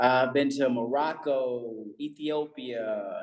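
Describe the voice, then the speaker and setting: A man speaks in a Texas accent. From Texas, Bryan-College Station. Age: 40s. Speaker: real estate entrepreneur. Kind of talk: interview.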